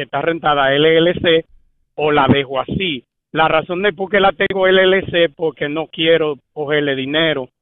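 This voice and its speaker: A man talks at a very slow pace. His voice sits fairly high. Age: 40s. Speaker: caller. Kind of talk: call-in question.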